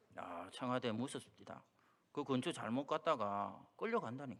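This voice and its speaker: A man speaks with a strong Gyeongsang accent. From Busan, South Korea. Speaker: pastor. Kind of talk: sermon.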